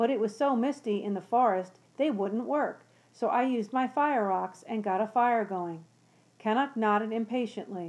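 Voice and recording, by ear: Someone is reading aloud in a natural voice.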